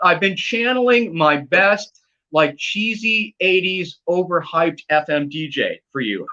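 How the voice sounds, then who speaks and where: Using a raised, projected voice, a man speaks at a high pitch with a bright, sharp tone, very wide pitch swings and a fairly slow pace. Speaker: live streamer.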